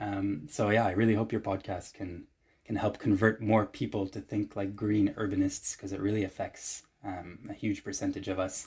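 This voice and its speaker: A somewhat breathy man's voice, fairly low in pitch, at a moderate pace with fairly even intonation. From Normandy, France and Hamburg, Germany. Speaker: transport planner and mobility activist. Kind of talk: casual interview conversation. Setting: video call.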